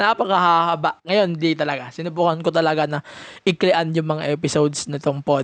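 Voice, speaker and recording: At a moderate pace, a man with a high pitch speaks in fairly even intonation. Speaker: wrestling podcast host. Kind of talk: casual review monologue. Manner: Taglish code-switching.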